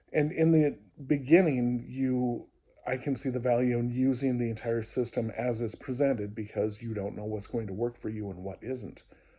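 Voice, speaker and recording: A man with a dark, mellow tone speaks at medium pitch and a moderate pace. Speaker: video diarist and music therapist. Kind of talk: personal video diary. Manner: hesitant, many fillers.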